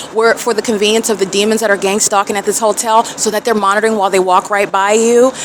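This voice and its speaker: Against noticeable background noise, a woman with a fairly high pitch talks at a very fast pace. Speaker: self-documenting vlogger. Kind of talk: self-recorded documentation monologue. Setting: hotel room and outside a hotel. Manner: loud; agitated.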